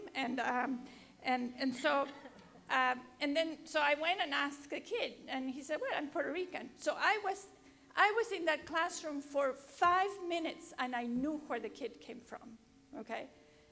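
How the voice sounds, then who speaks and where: Raised, projected voice with a bright, sharp tone and a Spanish accent, at a moderate pace with ordinary pitch variation. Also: woman, high pitch for a woman. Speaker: education professor. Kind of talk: panel discussion. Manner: halting.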